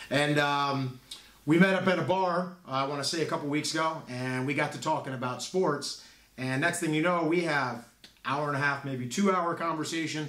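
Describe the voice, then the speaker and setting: A fairly high-voiced man keeps his intonation fairly level at a medium rate, with audible room echo and clear background noise around him. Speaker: podcast co-host and youth football coach. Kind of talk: casual chat. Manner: loud.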